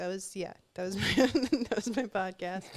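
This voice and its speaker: In a very clean recording with a silent background, a woman with an American accent and a normal speaking voice talks at a fairly quick pace, at medium pitch with ordinary pitch variation. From Southern California, Orange County. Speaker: podcast host. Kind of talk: casual chat.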